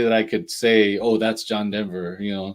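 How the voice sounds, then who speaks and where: An American-accented man speaks at a moderate pace in a fairly low pitch, with monotone, flat intonation. The recording is very clean, with a silent background. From Southern California (Oceanside), partly New York. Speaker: podcast host. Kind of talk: casual chat. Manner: halting.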